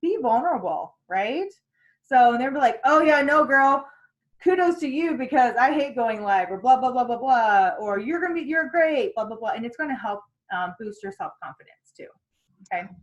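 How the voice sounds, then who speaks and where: Her voice is loud and high-pitched for a woman, with very wide pitch swings at a moderate pace. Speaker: sales team trainer. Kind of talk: training session.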